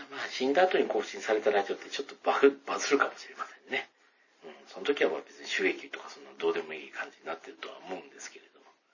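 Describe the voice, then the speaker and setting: Noticeable background noise runs under the clip. A man speaks very fast, his loudness swinging a lot. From Hyogo, Kansai, Japan. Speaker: podcast host. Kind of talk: solo casual talk. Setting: bathroom at home. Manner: subdued tone; low energy.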